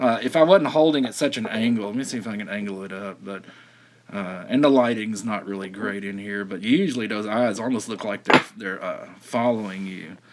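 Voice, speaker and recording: A man with a Southern US accent and fairly low pitch talks at a fairly quick pace, with big swings in loudness. Noticeable background noise is present. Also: ordinary pitch variation. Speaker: silver stacking livestreamer. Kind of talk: casual chat. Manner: halting.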